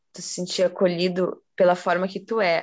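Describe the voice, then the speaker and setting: The speech comes at a fairly slow pace in a monotone, flat intonation. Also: woman. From southern Brazil, Porto Alegre. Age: 20s. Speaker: student and biodanza participant. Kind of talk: casual chat.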